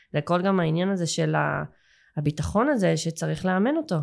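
In a very clean recording with a silent background, a woman with a fairly low pitch and an unremarkable speaking voice talks at a moderate pace. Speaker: English teacher and school owner. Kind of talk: casual interview chat.

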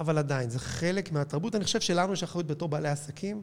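Intonation stays lively throughout, and the delivery runs at a fairly quick pace. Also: man. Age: 50s. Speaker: cinema chain executive. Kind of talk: interview.

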